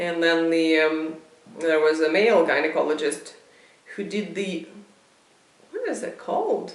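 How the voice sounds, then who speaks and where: In a room with audible echo and noticeable background noise, a woman speaks fairly slowly with long, frequent pauses, her fairly low voice monotone and flat. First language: not English. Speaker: video blogger. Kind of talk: casual monologue. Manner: halting.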